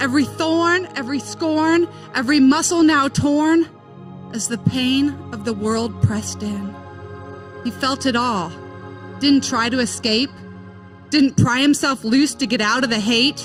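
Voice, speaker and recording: A woman at a fairly slow pace, with long, frequent pauses and music in the background. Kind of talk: spoken word poetry reading.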